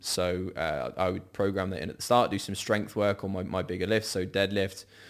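A man with an English accent and fairly low pitch speaks at a moderate pace on a very clean recording with a silent background. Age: 20s. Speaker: online fitness coach. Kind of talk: casual chat. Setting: studio. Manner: hesitant, many ums.

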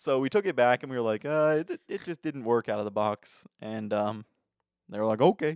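Dry, close sound with no echo, a very clean recording with a silent background, and a man with a plain, everyday voice at medium pitch, fairly quick pace and lively intonation. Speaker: podcast co-host. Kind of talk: casual chat.

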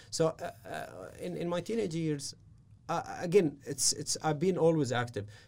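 A man speaks with an Arabic accent at a moderate pace. His voice is fairly high. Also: ordinary pitch variation. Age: 30s. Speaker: business strategist and mentor. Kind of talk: interview. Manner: halting.

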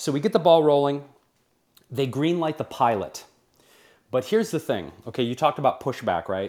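On a very clean recording with a silent background, a man with an American accent talks at a fairly quick pace in a fairly high pitch, using very wide pitch swings and long, frequent pauses. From US Midwest, Detroit. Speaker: TV host and cookbook author. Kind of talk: interview. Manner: animated.

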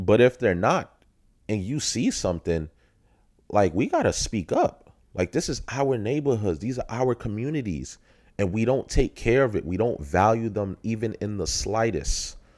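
An American-accented man speaks at a moderate pace in a medium pitch, with vocal fry, an animated tone and lively intonation, on a very clean recording with a silent background. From Brooklyn, New York. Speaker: podcast host. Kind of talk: solo monologue.

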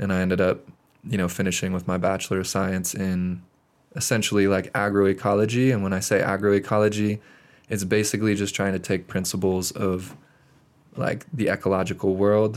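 A man with an American accent talks in a plain, everyday voice, fairly low in pitch, at a moderate pace. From Montana. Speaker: podcast guest. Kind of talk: casual chat. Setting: studio.

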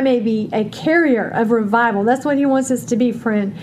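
Fairly high-pitched speech from a woman, with noticeable noise in the background. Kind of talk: fervent prayer. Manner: fervent, earnest, praying.

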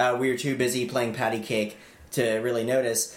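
A man speaks at a moderate pace in a medium pitch, with noticeable background noise. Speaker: podcast host. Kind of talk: comedic banter.

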